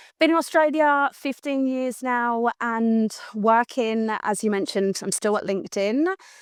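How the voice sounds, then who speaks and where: With a London accent, a woman speaks in a high pitch at a fairly slow pace with hardly any pauses and ordinary pitch variation, in a dry, close sound with no echo. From London, England. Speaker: customer success team leader. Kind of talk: casual interview chat. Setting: live stream recording. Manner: animated.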